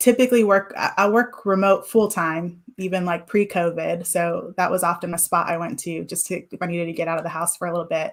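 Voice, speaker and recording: Using fairly even intonation, a woman with a fairly low pitch speaks at a fairly quick pace. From US West Coast, Whittier near Los Angeles, Mexican-American family. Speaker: guest, remote worker. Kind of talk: interview chat. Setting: live stream.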